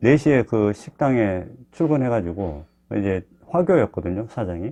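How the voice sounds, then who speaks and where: A man's voice with a dark, mellow tone. His pitch swings very widely. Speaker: cancer patient vlogger. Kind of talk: personal talk to camera. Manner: casual, conversational.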